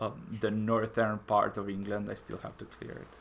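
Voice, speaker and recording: A man's bright, sharp tone in an Italian accent at a fairly slow pace. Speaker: gaming streamer. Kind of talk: live stream chat. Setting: live stream. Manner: halting, many fillers.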